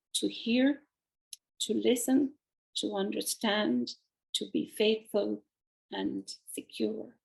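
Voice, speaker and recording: A woman with an Irish accent speaks at a very slow pace. She takes long, frequent pauses. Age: 70s. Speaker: painter and author. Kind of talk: interview.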